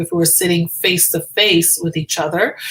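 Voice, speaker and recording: Over noticeable background noise, a woman with a Trinidadian accent and a medium-pitched voice talks at a fairly slow pace in an animated tone. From Trinidad and Tobago (Tobago). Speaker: physician. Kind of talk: live stream chat. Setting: live video stream.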